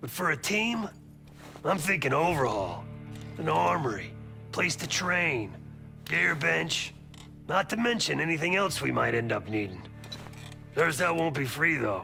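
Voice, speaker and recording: A man's put-on character voice, raspy and fairly high-pitched, with very wide pitch swings, a moderate pace, and clear music in the background. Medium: machinima. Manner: measured, dry.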